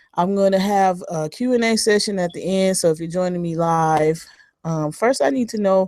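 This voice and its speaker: This woman talks at a fairly slow pace in a dark, mellow tone, her medium pitch moving with ordinary variation. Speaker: webinar presenter. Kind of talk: webinar presentation. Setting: online webinar. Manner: hesitant, many fillers.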